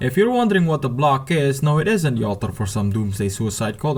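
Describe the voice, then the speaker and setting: A man speaks at a very fast pace. His medium-pitched voice is somewhat breathy. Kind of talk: commentary voiceover.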